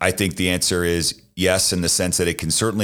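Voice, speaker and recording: A man with an American accent and a very deep, low pitch, at a fairly quick pace, on a very clean recording with a silent background. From US Northeast, Boston. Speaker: sports team owner. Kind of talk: interview. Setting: studio.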